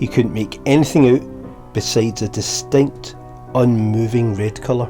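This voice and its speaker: A man speaks in a Scottish accent at a moderate pace, with very wide pitch swings. Music plays in the background. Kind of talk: bedtime story narration. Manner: relaxing.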